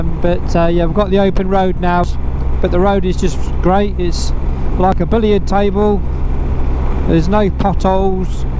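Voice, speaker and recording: Speech moves at a moderate pace with long, frequent pauses. The sound is dry with no echo, and background noise is noticeable. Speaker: motorcycle travel vlogger. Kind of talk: casual vlog chat. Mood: relaxed and cheerful. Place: motorbike.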